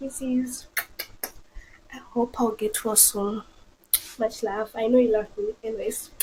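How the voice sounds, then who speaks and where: With a Zimbabwean accent, a woman speaks in a high voice at a very slow pace. Her intonation is fairly even, and noticeable background noise runs behind her. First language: a Zimbabwean language, not English. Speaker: friend of the host. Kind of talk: casual chat.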